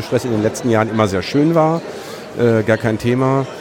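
Audible echo from the room surrounds a man's voice. There is noticeable noise in the background too. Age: 50s. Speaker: former podcaster. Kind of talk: casual chat. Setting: at a conference with crowd noise around.

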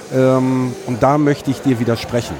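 With noticeable noise in the background, a man's words come out very slowly. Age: 50s. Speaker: former podcaster. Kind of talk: casual chat. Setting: at a conference with crowd noise around.

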